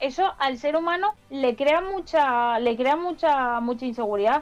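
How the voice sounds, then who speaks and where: A woman talking at a fairly slow pace with lively intonation, over noticeable background noise. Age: 20s. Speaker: AI guest speaker. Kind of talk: casual chat.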